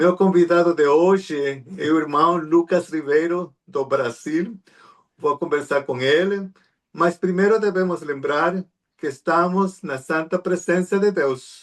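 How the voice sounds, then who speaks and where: This man speaks very slowly in a Spanish accent. His pitch is high, with fairly even intonation. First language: Spanish (speaking Portuguese). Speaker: interview show host. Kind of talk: interview.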